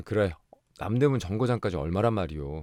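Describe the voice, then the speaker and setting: In a very clean recording with a silent background, a man speaks at a moderate pace in a calm, soothing tone that is dark and mellow, with lively intonation. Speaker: audiobook narrator. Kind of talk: audiobook reading of a short story for sleep.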